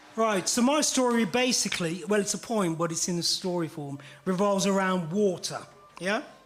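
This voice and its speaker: A man speaks at a moderate pace with a high pitch and ordinary pitch variation. Music plays in the background. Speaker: poet. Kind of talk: poetry performance with audience participation.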